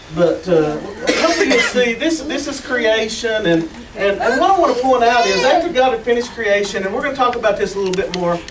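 A man rattles along at a very fast pace while noticeable background noise carries on behind him. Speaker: pastor. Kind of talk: sermon. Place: church. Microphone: camera far.

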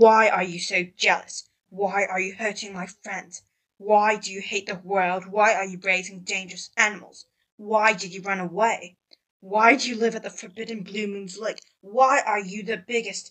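Using a put-on character voice, a woman speaks at a medium pitch. Her pace is moderate. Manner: angry, accusing, rapid questions.

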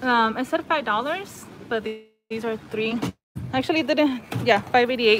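Faint music plays in the background as a woman speaks in a high pitch with ordinary pitch variation. She keeps a moderate pace, with long, frequent pauses. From Louisiana. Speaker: shopping vlogger. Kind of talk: live-stream shopping vlog. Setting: in a store. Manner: casual, chatty. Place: shop. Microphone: phone near.

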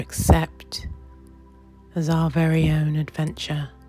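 Music plays in the background. The speaker has a British accent. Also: woman. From New Zealand. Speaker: meditation guide. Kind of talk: guided meditation. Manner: slow, soft-spoken.

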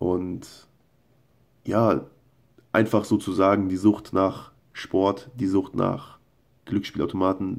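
A man with a fairly low pitch speaks very slowly, his intonation fairly even. Long, frequent pauses break up his speech over a quiet background. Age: 20s. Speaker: video blogger. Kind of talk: casual monologue and reading his own posts aloud. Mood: earnest, personal confession. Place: home room. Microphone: phone near.

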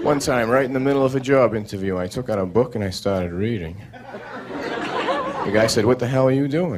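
A man speaks with an American accent at a moderate pace. Noticeable background noise can be heard. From United States. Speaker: stand-up comedian. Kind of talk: stand-up comedy one-liners. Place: stage. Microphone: handheld.

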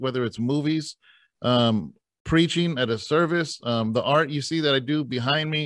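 Recorded dry with no echo against a quiet background, a man speaks at a moderate pace with fairly high pitch and ordinary pitch variation. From Northern California (Tracy); Northern California. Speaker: pastor and podcast host, former prisoner; interviewee. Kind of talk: casual interview. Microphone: webcam.

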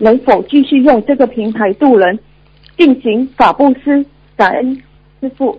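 A woman speaks at a high pitch with lively intonation. Her pace is fairly slow, with long, frequent pauses. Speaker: caller. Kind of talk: reading questions aloud. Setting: phone call. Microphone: phone line.

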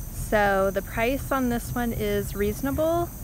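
A woman speaks with a dry sound with no echo over noticeable background noise. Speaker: house hunter vlogger. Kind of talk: casual vlog chat. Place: open country. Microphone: phone near.

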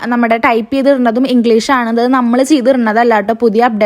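A woman speaks at a high pitch. Noticeable background noise runs under her voice. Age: 20s. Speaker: family vlogger. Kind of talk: casual vlog narration.

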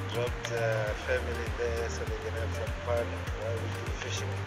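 Loud background music under a man's fairly slow speech with ordinary pitch variation. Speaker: angler vlogger. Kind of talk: casual vlog chat. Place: open country.

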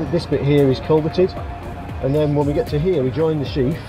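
The voice belongs to a man. Music is clearly heard behind him. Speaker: guide for a river trust. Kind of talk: briefing to group. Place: street.

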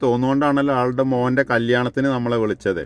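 This is a man speaking. He has an ordinary speaking voice. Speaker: home construction vlogger. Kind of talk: casual chat.

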